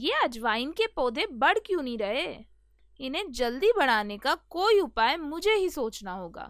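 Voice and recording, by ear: A woman's cartoonish character voice, high and fairly bright, with big pitch swings and a fairly slow pace, on a very clean recording with a silent background.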